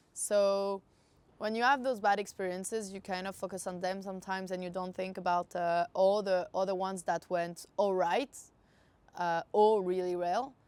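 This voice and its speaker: In a French accent, the speaker talks at a moderate pace with fairly even intonation. The recording is very clean and the background silent. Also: woman, medium pitch for a woman. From France. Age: 20s. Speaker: adventure traveller. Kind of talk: interview. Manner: hesitant, many fillers.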